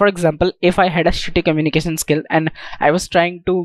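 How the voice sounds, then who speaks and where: A man speaks with an Indian accent. His pitch is high. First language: Indian language, not English. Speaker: self-improvement YouTuber. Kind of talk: tutorial talk to camera.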